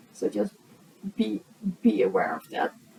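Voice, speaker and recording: A woman speaks. Noticeable background noise is present throughout. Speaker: speaker and blogger. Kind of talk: conference talk. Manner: slower pace.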